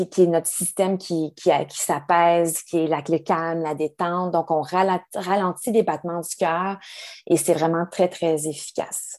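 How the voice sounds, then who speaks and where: Against a quiet background, a woman with a Quebec accent speaks fairly slowly in a monotone, flat intonation. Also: fairly low pitch for a woman. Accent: Québécois French. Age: 40s. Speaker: yoga teacher and wellness advisor. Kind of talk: interview. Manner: halting.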